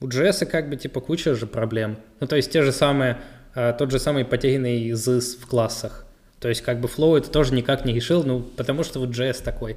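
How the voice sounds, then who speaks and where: A man's normal speaking voice, medium in pitch, with fairly even intonation and a fairly quick pace. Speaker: podcast co-host and frontend developer.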